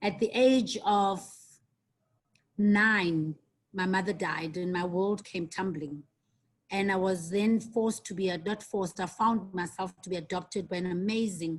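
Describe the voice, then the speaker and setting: A somewhat breathy woman speaks at a fairly slow pace in a medium pitch with fairly even intonation. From South Africa. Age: 50s. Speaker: guest lecturer, tourism marketing executive. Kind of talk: online guest lecture. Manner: hesitant, many fillers.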